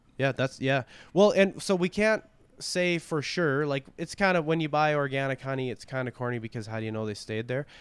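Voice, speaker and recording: A man speaks in a fairly high pitch with lively intonation and a plain, everyday voice. The recording is very clean, with a silent background. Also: fairly quick pace. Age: 30s. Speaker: rancher. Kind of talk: casual interview.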